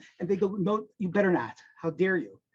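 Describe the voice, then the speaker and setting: His voice is high for a man, with a dark, mellow tone. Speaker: accounting tutor. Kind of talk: self-introduction talk. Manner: energetic.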